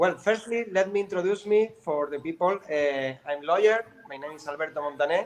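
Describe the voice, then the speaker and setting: A man talks at a fairly quick pace with a Spanish accent and hardly any pauses, his voice high and his pitch variation ordinary. His loudness swings widely, and background noise is noticeable. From South America. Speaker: lawyer. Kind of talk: live stream interview. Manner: halting.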